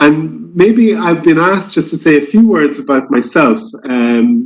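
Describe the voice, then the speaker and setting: Speaking at a moderate pace, a man with an Irish accent uses lively intonation. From Ireland. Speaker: ambassador. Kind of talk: formal presentation.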